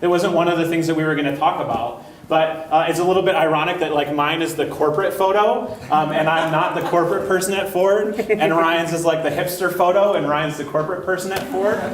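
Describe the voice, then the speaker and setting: A man talks loudly at a very fast pace, his pitch high and his intonation fairly even. Audible room echo and noticeable background noise fill the recording. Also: hardly any pauses. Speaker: conference speaker. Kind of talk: conference talk. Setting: large room with audience, one microphone.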